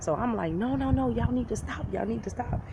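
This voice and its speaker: Her voice swings very widely in pitch. The woman is heard with noticeable background noise and audible room echo. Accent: American. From United States. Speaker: YouTuber, social media marketer. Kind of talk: storytelling vlog. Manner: animated.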